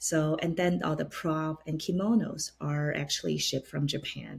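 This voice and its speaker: Moving at a moderate pace, the voice sounds somewhat breathy. Its intonation is fairly even. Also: woman. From China. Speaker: opera stage director. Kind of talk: interview.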